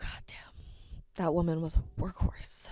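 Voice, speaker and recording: A woman with an American accent, animated in tone, at a moderate pace. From Connecticut. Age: 30s. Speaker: livestreamer. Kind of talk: casual monologue.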